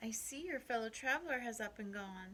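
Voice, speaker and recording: Over clear background noise, someone performs a put-on character voice at a fairly high pitch. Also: fairly quick pace. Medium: read story.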